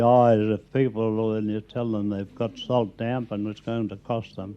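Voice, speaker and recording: A man talks at a fairly slow pace with an Australian accent. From South Australia. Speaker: pest controller and former rat catcher. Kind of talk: radio interview answer. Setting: recorded at home.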